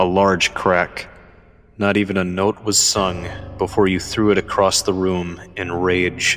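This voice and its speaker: Against background music, a man with a very deep, low voice speaks fairly slowly in a monotone, flat intonation. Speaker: writer reading own story. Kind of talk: horror story narration.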